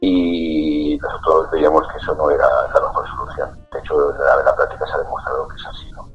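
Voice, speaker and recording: Over background music, a man talks at a fairly quick pace, his loudness swinging widely. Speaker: housing association spokesperson; former teacher. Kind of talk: interview. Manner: fast; animated, sometimes raises voice.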